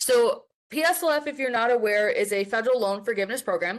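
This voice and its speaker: A woman's lively intonation comes through against a quiet background. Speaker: professional development specialist, webinar presenter. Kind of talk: webinar presentation. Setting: online webinar. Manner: fast; casual, filler-heavy.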